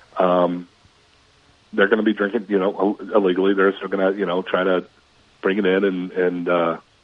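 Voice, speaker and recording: Very deep and low, a man's voice moves at a fairly quick pace over noticeable background noise. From Minnesota. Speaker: sports reporter. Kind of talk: radio sports chat.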